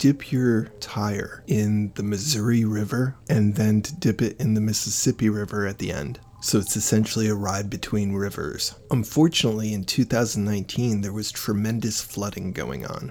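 A man speaks in an ordinary speaking voice, fairly low-pitched, with ordinary pitch variation, a moderate pace and hardly any pauses. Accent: American. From Connecticut. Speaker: podcast host. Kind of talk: scripted narration with interviews.

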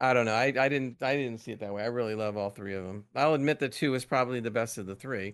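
A man's medium-pitched voice at a very fast pace, fairly even in intonation, over a quiet background. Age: 40s. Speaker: gaming podcast co-host. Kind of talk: casual chat.

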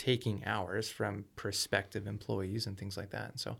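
A man's fairly low voice with vocal fry, ordinary pitch variation, and a fairly quick pace, on a very clean recording with a silent background. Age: 20s. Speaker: real estate entrepreneur. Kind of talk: casual interview.

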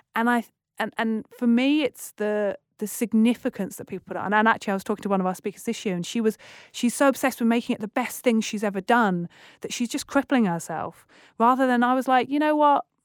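In a British accent, the speech comes at a very fast pace, with a dry, close sound free of echo and a very clean recording over a silent background. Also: woman, fairly high pitch for a woman, ordinary pitch variation. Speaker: TEDx curator and presenter. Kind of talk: casual interview chat. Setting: studio. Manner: fast talker.

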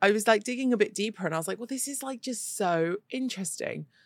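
In a very clean recording with a silent background, a woman talks with a fairly high pitch. She has an ordinary speaking voice with ordinary pitch variation. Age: 30s. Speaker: podcast host. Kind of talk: casual chat. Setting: studio.

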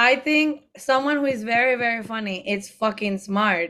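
In a Spanish accent, the voice carries a bright, sharp tone, ordinary pitch variation and a moderate pace in a very clean recording with a silent background. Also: woman. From Mexico. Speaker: drag queen and comedian. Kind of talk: casual chat recapping a TV show.

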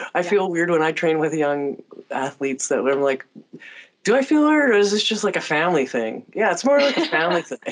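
Her pitch swings very widely as a woman with a fairly low voice talks at a fairly quick pace. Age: 40s. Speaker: podcast host. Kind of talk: casual chat.

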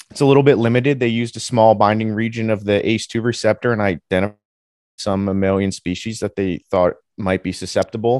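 With an American accent and a normal speaking voice, a man talks at a fairly quick pace, fairly low in pitch and with fairly even intonation, in a dry, close sound with no echo and a quiet background. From New Jersey. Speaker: graduate student researcher. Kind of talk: interview.

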